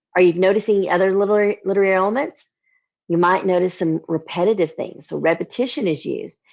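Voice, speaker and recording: Against a quiet background, a woman with a Southern US accent talks at a fairly quick pace. Her medium pitch shows ordinary pitch variation. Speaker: children's literature educator. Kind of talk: lesson for children. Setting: livestream.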